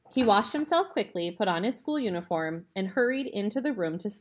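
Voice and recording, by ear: Someone is reading aloud in a natural voice, with lively intonation.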